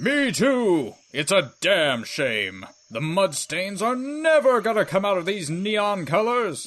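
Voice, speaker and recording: In a put-on character voice, a man talks at a fairly slow pace, pitched high with very wide pitch swings. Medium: audio drama. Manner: cocky, mock-tough.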